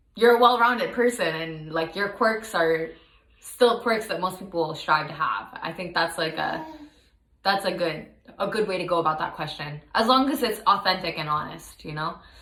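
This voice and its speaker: In a room with audible echo and noticeable background noise, a woman speaks at a moderate pace with lively intonation and a medium pitch. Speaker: graduate student. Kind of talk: casual self-review monologue.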